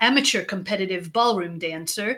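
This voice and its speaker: A woman talks with a bright, sharp tone. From Israel. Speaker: leadership consultant. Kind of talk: interview.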